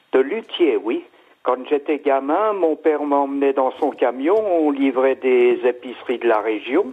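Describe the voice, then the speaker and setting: At a very slow pace, a man speaks with a fairly high pitch, ordinary pitch variation and very even loudness. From Alsace, France. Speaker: caller, luthier enthusiast. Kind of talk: casual phone chat, storytelling. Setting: phone call.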